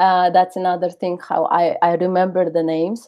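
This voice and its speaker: A woman with a mid-range voice takes a fairly unhurried pace. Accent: Russian. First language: Russian. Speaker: webinar speaker on networking. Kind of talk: webinar talk and Q&A. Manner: halting, many fillers.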